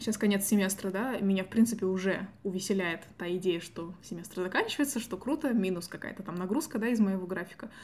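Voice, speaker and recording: A woman's somewhat breathy, medium-pitched voice at a fairly quick pace, with ordinary pitch variation and hardly any pauses. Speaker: student podcast host. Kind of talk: casual chat.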